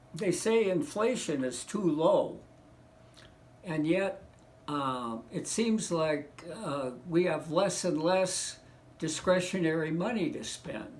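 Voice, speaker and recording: A man with an American accent at a high pitch, very slow in pace, lively in intonation, with audible room echo. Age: 70s. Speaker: economics commentator. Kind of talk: casual monologue. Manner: halting, many fillers.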